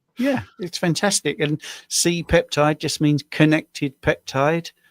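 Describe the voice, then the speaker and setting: Speaking with a British accent, a man with a fairly high voice and ordinary pitch variation is heard in a dry, close sound with no echo on a very clean recording with a silent background. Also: fairly slow pace. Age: 60s. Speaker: diabetes coach. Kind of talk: tutorial; casual chat.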